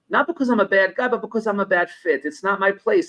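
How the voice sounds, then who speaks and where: A man with an American accent at a very fast pace. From New York. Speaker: business consultant. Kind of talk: podcast interview; storytelling. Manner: conversational.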